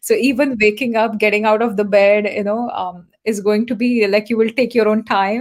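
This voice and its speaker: Hardly pausing, a woman talks at a moderate pace with a fairly high pitch and fairly even intonation. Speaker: Ayurveda and nutrition consultant. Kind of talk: interview.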